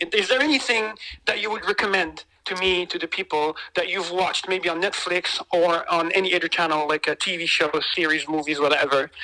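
Over noticeable background noise, a woman with fairly low pitch speaks at a fairly quick pace and ordinary pitch variation. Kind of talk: casual chat.

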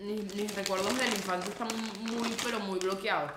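Audible room echo and noticeable background noise surround the voice. It belongs to a woman with a medium pitch and fairly even intonation. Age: 20s. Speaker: podcast co-host. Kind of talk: casual chat.

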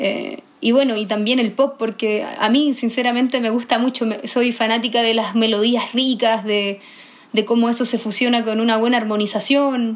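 Her intonation is monotone and flat. The woman's pitch is fairly high, and she speaks at a moderate pace. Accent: Chilean. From northern Chile, Iquique. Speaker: singer-songwriter. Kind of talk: interview.

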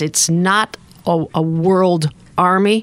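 Speaking with an American accent, a woman has an ordinary speaking voice, fairly low in pitch with ordinary pitch variation. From upstate New York. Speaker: retired UN peacekeeping staff member. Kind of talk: radio interview. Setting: studio.

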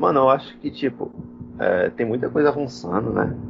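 A man is talking. His pace is moderate. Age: 30s. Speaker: computer science student and podcast co-host. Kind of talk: casual chat.

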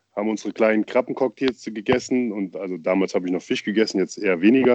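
In a normal speaking voice, a man talks at a medium pitch with ordinary pitch variation, the sound dry and close with no echo over a quiet background. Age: young. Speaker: podcast co-host, father. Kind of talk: casual chat.

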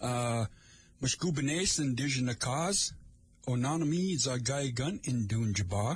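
A man with a medium pitch and a somewhat breathy voice speaks at a fairly slow pace with lively intonation. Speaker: community radio host. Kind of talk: live radio talk show. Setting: radio studio. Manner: casual.

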